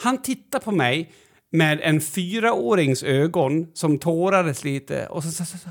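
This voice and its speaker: At a fairly slow pace, a man with a high pitch speaks with lively intonation in a very clean recording with a silent background. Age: 40s. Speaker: podcast co-host. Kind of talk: casual chat.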